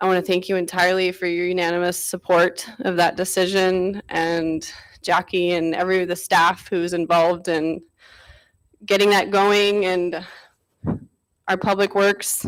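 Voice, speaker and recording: A woman with a medium pitch speaks at a moderate pace in a shaky voice with monotone, flat intonation. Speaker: resident speaking at public comment. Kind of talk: public comment at council meeting. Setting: council chamber. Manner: shaky, emotional.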